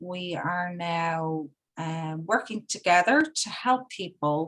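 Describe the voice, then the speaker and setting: Here a woman speaks with an Irish accent. Her pitch is fairly low. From Ireland. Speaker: spiritual seeker, paper reciter. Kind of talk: reading aloud and introduction.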